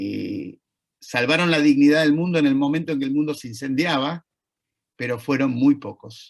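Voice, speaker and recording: Speaking at a moderate pace with an Argentine accent, a man has a fairly high pitch and ordinary pitch variation. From Argentina. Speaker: Holocaust educator, lecturer. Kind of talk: lecture.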